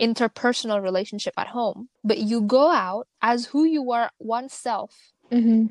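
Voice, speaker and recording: Speaking with an Indonesian accent at a fairly high pitch, a woman sounds dry and close with no echo over a quiet background. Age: 20s. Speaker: podcast co-host. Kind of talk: casual chat.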